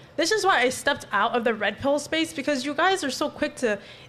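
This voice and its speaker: A woman talks fairly quickly with lively intonation over noticeable background noise. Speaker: panel guest. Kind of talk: heated debate.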